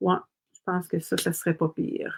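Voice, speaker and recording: A woman speaks with a Quebec accent. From Quebec, Montreal. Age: 60s. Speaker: craft demonstrator. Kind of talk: live-stream craft tutorial. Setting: live stream. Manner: casual, chatty.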